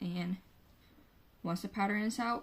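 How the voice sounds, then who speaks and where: The woman's voice is somewhat breathy and moves with lively intonation. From Finland. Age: 20s. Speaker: knitter. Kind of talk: casual podcast talk to camera. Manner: casual, chatty.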